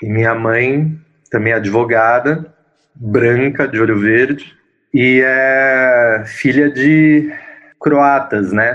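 A man with a São Paulo accent, medium-pitched, speaking very slowly with fairly even intonation. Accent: Paulistano Brazilian Portuguese. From São Paulo, Brazil (Zona Leste). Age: 30s. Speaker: interviewee in relationship documentary. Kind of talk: interview testimony. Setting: video call. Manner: halting, many fillers.

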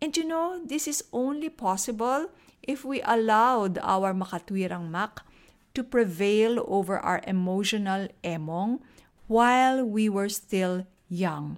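A woman with a Filipino accent, fairly high pitch and lively intonation, at a fairly slow pace, in a very clean recording with a silent background. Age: 50s. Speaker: podcast host, personal finance educator. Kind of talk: solo podcast talk, Taglish.

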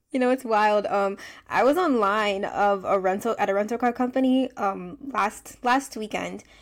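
A woman with an American accent talks at a moderate pace in a fairly high pitch, using a plain, everyday voice with ordinary pitch variation. Her loudness stays very even, and the recording is very clean with a silent background. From United States. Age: 20s. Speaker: teacher and podcast co-host. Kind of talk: casual chat.

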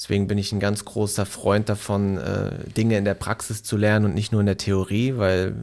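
Speaking at a moderate pace, a man's voice sits fairly low in pitch. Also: very clean recording, silent background. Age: 20s. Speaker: podcast co-host and social media agency owner. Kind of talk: casual interview, answering as guest. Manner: frequent filler sounds, hesitant.

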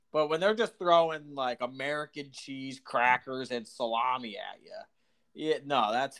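In an ordinary speaking voice, a man with a fairly high pitch and ordinary pitch variation talks at a fairly slow pace with hardly any pauses. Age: 20s. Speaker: podcast co-host. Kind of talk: casual chat.

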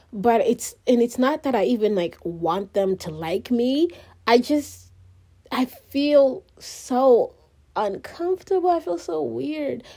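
In an African accent, a woman with a high pitch and a dark, mellow tone talks at a very slow pace, her pitch swinging very widely. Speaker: solo podcaster. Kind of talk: personal monologue. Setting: recorded on phone, no microphone. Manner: rambling; halting.

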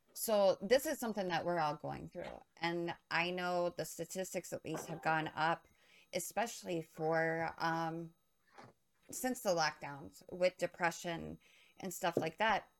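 A woman talks at a fairly slow pace in a normal speaking voice. Her pitch is fairly low, with ordinary pitch variation. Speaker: podcast co-host and streamer. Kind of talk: casual live stream chat. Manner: friendly, chatty, slightly scattered.

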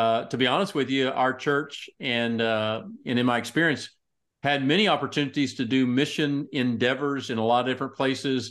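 On a very clean recording with a silent background, a man with a Texan accent talks at a fairly quick pace. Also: medium pitch for a man, ordinary pitch variation, very even loudness. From Texas, Tyler (East Texas). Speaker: pastor and ministry executive. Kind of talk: casual interview.

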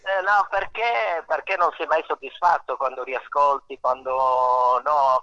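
Very slow in pace, a man talks in a fairly high pitch with lively intonation. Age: 50s. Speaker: musician and songwriter. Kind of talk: casual radio interview. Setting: outdoors under a portico.

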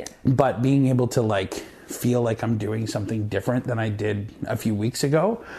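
This man speaks with a Canadian Prairies accent at a moderate pace and medium pitch. His intonation is fairly even, with noticeable background noise. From Canada, Saskatchewan (Moose Jaw). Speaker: actor. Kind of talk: casual chat.

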